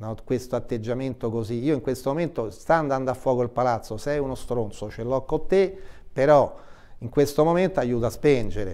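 A man's dark, mellow tone at a fairly quick pace against a quiet background. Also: medium pitch for a man, ordinary pitch variation. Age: 70s. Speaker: health association president; guest. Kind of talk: TV interview. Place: studio. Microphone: lapel.

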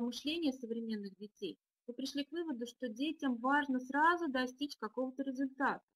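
Against a quiet background, a woman speaks at a moderate pace in a high pitch with ordinary variation. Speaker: deputy school director; webinar presenter, educator. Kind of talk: webinar presentation. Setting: online webinar. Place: home room. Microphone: video call.

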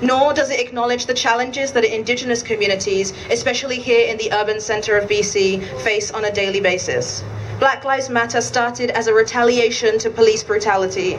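A woman talks at a fairly quick pace with hardly any pauses and fairly even intonation. Her pitch is fairly high, and light background noise sits underneath. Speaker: event organizer and emcee. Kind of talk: rally speech. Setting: outdoor vigil with crowd. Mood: solemn, grieving, firm. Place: street.

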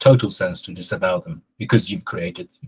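A man's somewhat breathy voice moves through ordinary pitch variation. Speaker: SEO consultant. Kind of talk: casual chat.

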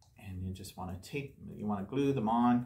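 A man's fairly low voice with a slightly mellow tone, a moderate pace and ordinary pitch variation.

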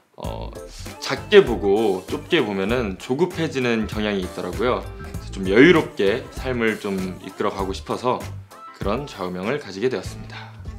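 At a moderate pace, a man with a fairly low pitch speaks with lively intonation over faint background music. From Seoul. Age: 20s. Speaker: actor. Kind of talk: self-introduction interview answer. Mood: calm, earnest, polite. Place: studio.

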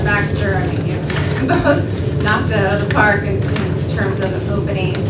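Over loud background noise, a woman speaks. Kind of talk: testimony presentation. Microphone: podium.

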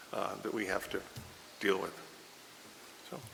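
A man speaks against noticeable background noise. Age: 70s. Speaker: town manager candidate. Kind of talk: job interview. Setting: council chambers. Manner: halting.

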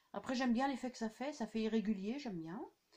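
A woman's fairly high voice with a slightly mellow tone

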